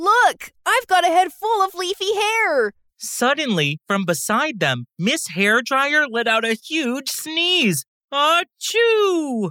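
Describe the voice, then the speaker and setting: A woman talks in a raised, projected voice with a bright, sharp tone and a high pitch. Her pitch swings very widely, and her pace is very slow. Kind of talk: bedtime story narration for young children, with character voices. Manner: animated, playful, sound effects like whoosh and snip; lively, expressive, with laughter.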